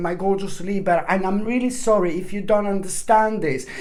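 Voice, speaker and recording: Against noticeable background noise and audible room echo, a woman speaks at a medium pitch. Her pitch varies in an ordinary way. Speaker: tarot reader. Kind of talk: tarot reading monologue. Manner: fast; jumps between topics, many fillers.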